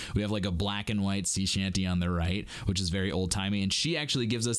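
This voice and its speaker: With an animated tone, a man speaks at a fairly low pitch. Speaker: vocal coach. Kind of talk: reaction commentary. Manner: casual, animated.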